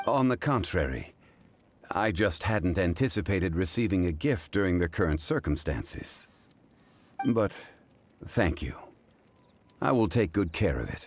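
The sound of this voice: A put-on character voice from a man, low-pitched with big pitch swings, at a fairly slow pace with long, frequent pauses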